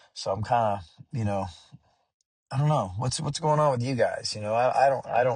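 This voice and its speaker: A somewhat breathy man at medium pitch, fairly quick pace and ordinary pitch variation, with long, frequent pauses. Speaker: musician. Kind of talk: vlog monologue. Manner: hesitant, many fillers.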